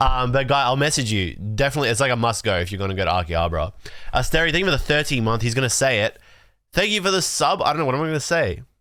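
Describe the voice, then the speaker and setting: Very fast and animated, a man speaks at medium pitch with a bright, sharp tone, vocal fry, and very wide pitch swings. His loudness stays very even in a very clean recording with a silent background. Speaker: livestreamer opening trading cards. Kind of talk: casual livestream chat. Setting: livestream.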